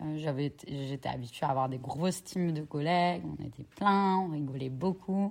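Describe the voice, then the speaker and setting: At a fairly slow pace, a woman with a very deep, low pitch speaks with ordinary pitch variation. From Normandy, France (Cherbourg). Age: 30s. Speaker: entrepreneur. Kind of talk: interview.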